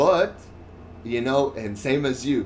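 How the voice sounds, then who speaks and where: With a French accent and ordinary pitch variation, a man speaks in a room with audible echo. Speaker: gaming streamer. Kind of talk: casual chat over gameplay. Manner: halting, with frequent fillers and restarts.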